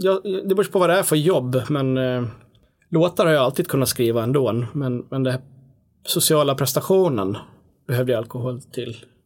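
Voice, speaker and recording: In a very clean recording with a silent background, a man uses a normal speaking voice at a medium pitch, with lively intonation and a moderate pace. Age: 40s. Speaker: musician. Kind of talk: casual chat.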